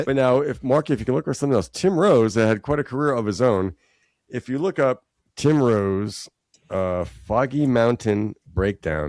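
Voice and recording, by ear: A man with a plain, everyday voice speaks at a medium pitch and a moderate pace, his intonation lively. The sound is dry and close with no echo, in a very clean recording with a silent background.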